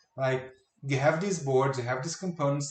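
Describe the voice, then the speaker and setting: This man speaks with a non-native accent. His fairly high pitch shows ordinary variation. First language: not English. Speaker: video game commentary youtuber. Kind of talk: reaction commentary.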